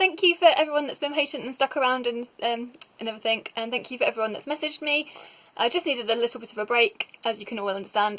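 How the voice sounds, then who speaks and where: A woman's high-pitched, very fast mumbling over noticeable background noise. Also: lively intonation, big swings in loudness. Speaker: book reviewer. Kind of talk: casual talk to camera. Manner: mumbly.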